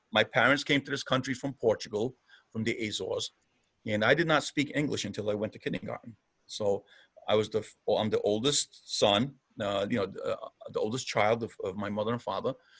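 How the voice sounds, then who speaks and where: A man talks at a fairly quick pace in a medium pitch, with ordinary pitch variation. The sound is dry and close, with no echo. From Providence, Rhode Island, US. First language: Portuguese. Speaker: mayor.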